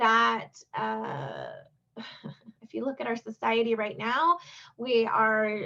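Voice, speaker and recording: This woman talks at a very slow pace. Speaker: youth development trainer. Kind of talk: virtual training presentation. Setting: video call. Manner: halting, many fillers.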